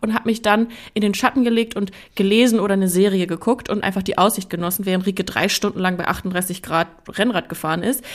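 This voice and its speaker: Talking at a very fast pace, a woman speaks at a medium pitch. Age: 20s. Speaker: podcast co-host. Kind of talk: casual chat. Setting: video call.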